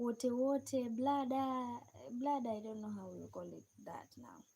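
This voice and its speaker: The voice has a dark, mellow tone and sounds somewhat breathy. It carries a Kenyan accent with ordinary pitch variation. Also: woman. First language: a Kenyan native language. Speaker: live streamer. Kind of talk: live stream chat with viewers. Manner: halting.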